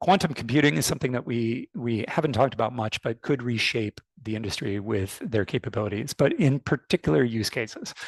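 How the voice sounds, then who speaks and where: A man with a North American accent talks in a plain, everyday voice at a medium pitch, with lively intonation. He keeps a fairly quick pace with hardly any pauses, and the sound is dry and close with no echo. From United States (born in Canada). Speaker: fintech industry expert. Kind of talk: webinar panel talk. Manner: frequent fillers and repetitions.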